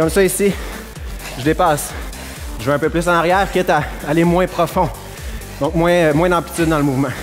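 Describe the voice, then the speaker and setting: Clear music plays in the background as the speaker goes at a fairly quick pace. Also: man. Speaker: fitness trainer. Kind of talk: workout instruction. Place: gym. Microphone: headset.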